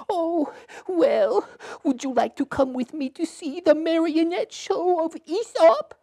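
The clip is a cartoonish character voice at an extremely high pitch. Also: fairly slow pace. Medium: puppet show. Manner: pleading, plaintive.

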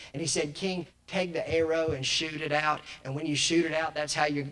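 This man has an ordinary speaking voice, pitched fairly high. He talks at a moderate pace. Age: 20s. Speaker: children's evangelist / preacher; children's evangelist, preacher. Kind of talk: sermon. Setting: church conference with audience. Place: church. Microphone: handheld.

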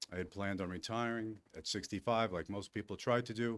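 A man's fairly low voice at a fairly quick pace. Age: 60s. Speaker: municipal employee speaking at public comment. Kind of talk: public comment at a board meeting. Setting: village board meeting with audience. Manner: formal.

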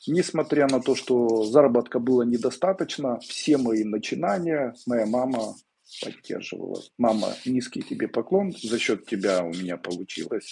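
Over light background noise, a man with a medium pitch and a dark, mellow tone talks at a fairly slow pace with lively intonation. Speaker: esoteric teacher answering viewers' questions. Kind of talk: live webinar Q&A, answering questions. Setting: live stream video webinar. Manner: conversational, direct, confident. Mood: warm, reflective, grateful. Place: home room. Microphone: earbuds.

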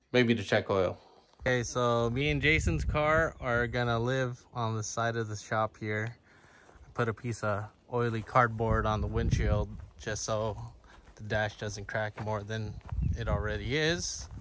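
A man speaks at a fairly slow pace with ordinary pitch variation. The sound is dry with no echo, though background noise is noticeable. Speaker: car enthusiast vlogger. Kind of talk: casual vlog chat. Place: open country. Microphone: phone near.

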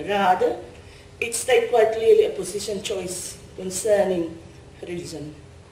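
A woman talks at a moderate speed, and the room's echo is audible. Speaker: conference speaker. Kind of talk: lecture. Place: hall. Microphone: podium.

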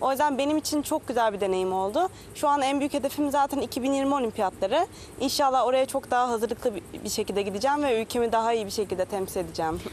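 A woman talks at a very fast pace in a high voice with lively intonation. Light background noise is present, and the sound is dry with no echo. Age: 20s. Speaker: Olympic windsurfer. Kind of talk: TV interview. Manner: halting. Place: waterside. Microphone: lapel.

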